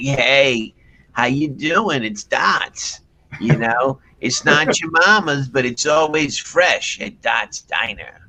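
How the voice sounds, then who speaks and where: A man puts on a raspy character voice at a fairly high pitch. He talks at a very slow pace with ordinary pitch variation. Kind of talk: casual, friendly.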